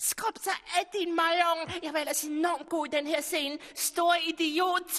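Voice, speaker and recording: A put-on character voice at an extremely high pitch comes through with hissing. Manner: hissing, furious.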